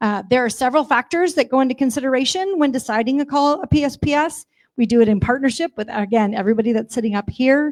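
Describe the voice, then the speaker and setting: Loud and very fast, a woman talks in a high pitch with ordinary pitch variation. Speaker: utility company representative. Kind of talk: public briefing at community meeting. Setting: community meeting with audience, livestreamed.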